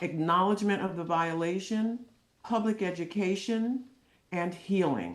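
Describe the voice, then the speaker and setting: A woman speaks at a moderate pace with medium pitch and ordinary pitch variation. Hers is an unremarkable speaking voice. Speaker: clinical psychologist. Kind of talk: testimony.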